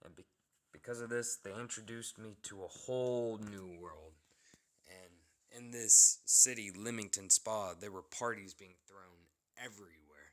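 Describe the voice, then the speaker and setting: With an unremarkable speaking voice, a man talks at a fairly slow pace in a fairly low pitch, with fairly even intonation and big swings in loudness. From United States. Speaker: vlogger telling a personal story. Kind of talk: personal storytelling.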